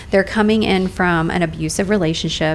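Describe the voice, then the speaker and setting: There is noticeable background noise as a woman talks at a fairly quick pace with a fairly low pitch. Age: 40s. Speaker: nurse and entrepreneur. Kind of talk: casual podcast interview. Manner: animated.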